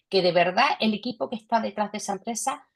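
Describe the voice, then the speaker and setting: A woman talks with a Cádiz Andalusian accent. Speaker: investor panelist. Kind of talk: panel discussion.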